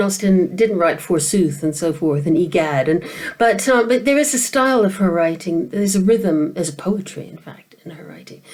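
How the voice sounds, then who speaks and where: A woman with an American accent talks at a moderate pace and medium pitch, with hardly any pauses. Her pitch swings very widely and her loudness shifts a lot, over noticeable background noise. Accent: mid-Atlantic, between American and British. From American, grew up in Asia. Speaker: novelist. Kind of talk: interview. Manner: hesitant, many fillers and repetitions.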